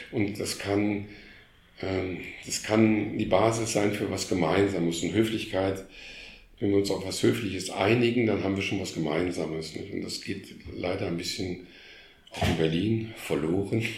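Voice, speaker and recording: The speech comes at a fairly slow pace with fairly even intonation and audible room echo. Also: man, fairly low pitch for a man. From Germany, Krefeld (Lower Rhine). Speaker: art historian and former museum curator. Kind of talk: casual interview. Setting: in his living room at home. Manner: halting, many repetitions.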